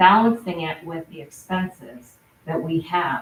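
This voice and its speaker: Over noticeable background noise, a woman talks with a fairly low pitch and ordinary pitch variation. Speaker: town select board member. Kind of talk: public meeting statement. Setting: town board meeting.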